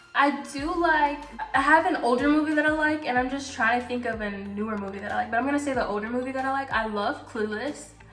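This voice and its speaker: A woman with an American accent at a high pitch and a very fast pace, ordinary pitch variation, audible room echo and music in the background. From Louisiana. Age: 20s. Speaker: YouTuber. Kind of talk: casual Q&A vlog. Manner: chatty, many fillers.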